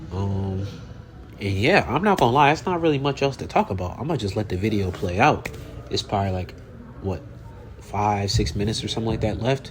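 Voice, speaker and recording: A man talks with lively intonation and long, frequent pauses. Noticeable background noise and audible room echo come through. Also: fairly low pitch for a man. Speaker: fitness vlogger. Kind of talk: casual voiceover. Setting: voiceover over gym footage. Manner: halting.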